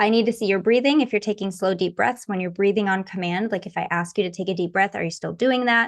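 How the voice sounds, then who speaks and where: A woman of medium pitch speaks with fairly even intonation over a quiet background. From Michigan, US Midwest. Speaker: hypnotherapist. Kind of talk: interview. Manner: fast.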